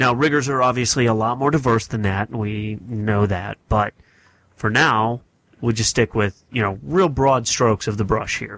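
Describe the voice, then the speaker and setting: Speaking in an unremarkable speaking voice, a man with an American accent keeps a medium pitch and ordinary pitch variation. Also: moderate pace. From US North. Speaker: podcast host. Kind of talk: casual chat. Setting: podcast recording.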